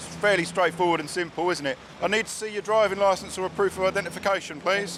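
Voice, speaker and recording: Against noticeable background noise, a high-pitched man speaks very fast with fairly even intonation. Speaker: traffic police officer. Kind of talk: roadside police stop. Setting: outdoors. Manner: loud; formal.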